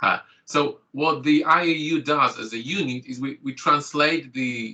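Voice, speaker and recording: A man's bright, sharp voice at fairly high pitch, with a Polish accent and ordinary pitch variation. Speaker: GP and clinical lecturer. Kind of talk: online training presentation.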